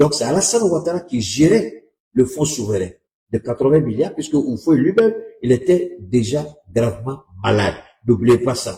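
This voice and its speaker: With a dark, mellow tone, the voice is somewhat breathy and moves at a moderate pace with lively intonation. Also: man. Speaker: political commentator. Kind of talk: livestream commentary.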